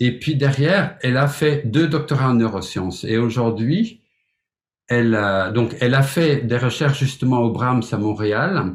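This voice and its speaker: A man speaks at a fairly slow pace and medium pitch. His voice is somewhat breathy. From Flemish Belgium. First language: Flemish (Dutch) (speaking French). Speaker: music teacher, piano pedagogue. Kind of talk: webinar presentation. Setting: online webinar. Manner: hesitant, with filler words.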